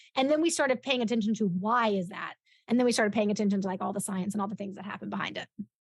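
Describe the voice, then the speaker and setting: Somewhat breathy and energetic, the speaker talks very fast with an American accent, and the loudness swings widely. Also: woman, medium pitch for a woman, ordinary pitch variation. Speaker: referral business coach. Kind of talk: interview.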